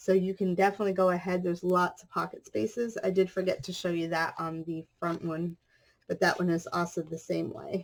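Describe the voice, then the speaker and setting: At a fairly quick pace, a woman with an unremarkable speaking voice talks in a fairly low pitch, her intonation fairly even but her loudness swinging widely. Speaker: craft youtuber. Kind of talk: tutorial.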